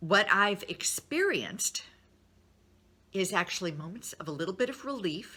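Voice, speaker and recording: With a bright, sharp tone, a woman speaks at medium pitch with ordinary pitch variation in a very clean recording over a silent background. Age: 60s. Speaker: nutrition advisor and motivational speaker. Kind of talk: motivational talk to followers. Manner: casual, conversational.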